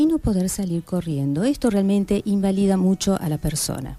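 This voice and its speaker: A woman's dark, mellow tone comes at a fairly quick pace. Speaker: clinical psychologist, guest on a radio health program. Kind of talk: radio interview answer explaining psychology to listeners.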